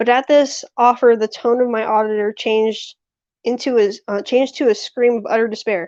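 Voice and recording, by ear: The background stays quiet while a natural voice reads aloud, its intonation fairly even.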